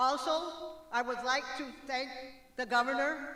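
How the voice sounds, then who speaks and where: A woman's high-pitched voice is raised and projected. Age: 70s. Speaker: retired health center director. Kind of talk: prepared speech.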